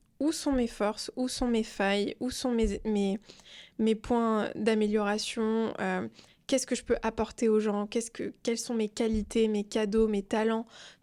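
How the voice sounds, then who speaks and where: The speaker has a calm tone and a fairly slow pace. The recording is very clean, with a silent background. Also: woman. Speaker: entrepreneur and social media creator. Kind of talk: casual interview chat.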